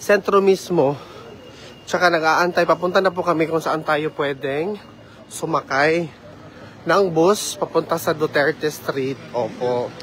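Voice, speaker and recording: A man at a fairly slow pace, fairly high in pitch, with ordinary pitch variation and noticeable background noise. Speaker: vlogger. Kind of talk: casual vlog chat. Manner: loud.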